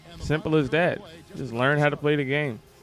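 An animated man's voice over music in the background. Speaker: gaming YouTuber. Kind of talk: angry gaming rant, casual commentary over gameplay. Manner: loud, irritated, profane, animated.

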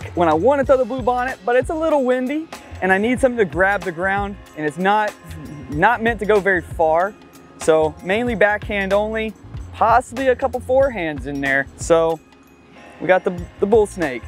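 A man is speaking over faint background music. The audio is dry, without any echo. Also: moderate pace. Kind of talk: product walkthrough to camera. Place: open country.

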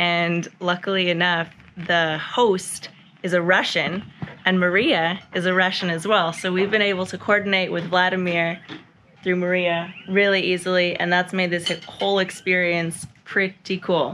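Amid light background noise, a woman speaks at a fairly slow pace with monotone, flat intonation. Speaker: travel vlogger. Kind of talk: casual vlog chat. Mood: relaxed and cheerful. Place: home room. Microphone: phone near.

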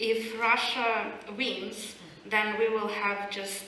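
Flat, monotone speech comes through with audible room echo and light background noise. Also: woman. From Ukraine. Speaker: historian. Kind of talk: panel discussion. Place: hall.

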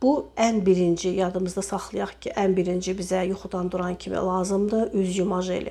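Speaking at a fairly quick pace, a woman with a medium pitch keeps a monotone, flat intonation. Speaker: cosmetics sales representative. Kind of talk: product demonstration sales pitch. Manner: hesitant with frequent filler sounds.

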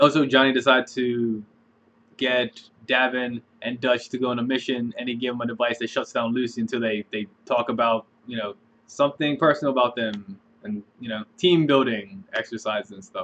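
This man talks at a fairly quick pace. His intonation stays fairly even. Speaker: reaction video host. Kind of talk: casual vlog chat. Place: home room. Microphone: webcam.

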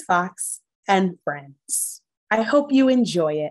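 A woman speaks very slowly, her pitch swinging very widely. The background is quiet. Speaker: teacher reading aloud. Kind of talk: story time read-aloud to children. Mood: warm, encouraging. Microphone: phone near.

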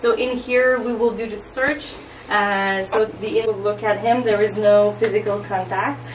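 A woman is heard with light noise behind her and audible echo from the room. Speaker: tour guide. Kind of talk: guided tour explanation. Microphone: phone near.

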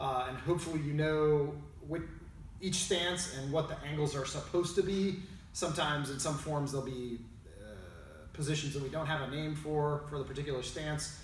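A man at a fairly quick pace with fairly even intonation, over light background noise and audible room echo. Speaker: martial arts instructor. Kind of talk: tutorial. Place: gym. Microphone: camera far.

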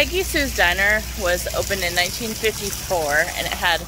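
Noticeable background noise surrounds a woman's voice, which sounds dry with no echo. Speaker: travel vlogger. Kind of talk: casual vlog chat. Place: garden. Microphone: phone near.

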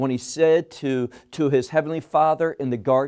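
A man speaking at a fairly slow pace against a quiet background. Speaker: Bible teacher. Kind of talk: sermon. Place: studio. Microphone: lapel.

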